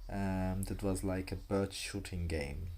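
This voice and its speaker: A man's very slow, fairly low-pitched voice with a dark, mellow tone and audible room echo. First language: not English. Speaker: vlogger. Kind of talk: casual vlog monologue. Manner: halting, many fillers and restarts.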